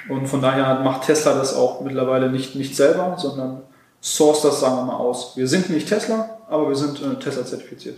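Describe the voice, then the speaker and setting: A man with a fairly high voice talks at a fairly quick pace with ordinary pitch variation. Noticeable background noise and audible room echo are present. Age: 20s. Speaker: car workshop manager and startup founder. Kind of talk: interview. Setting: on location at a car workshop.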